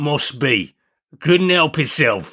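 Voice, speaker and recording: A man's loud, bellowing, put-on character voice, fairly high in pitch with lively intonation, on a very clean recording with a silent background. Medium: read story. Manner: gruff interjections, dark humour.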